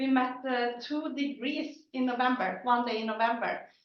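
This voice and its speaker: Room echo can be heard. A woman speaks at a moderate pace with a high pitch. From Sweden. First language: Swedish. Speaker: company CEO. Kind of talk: conference presentation.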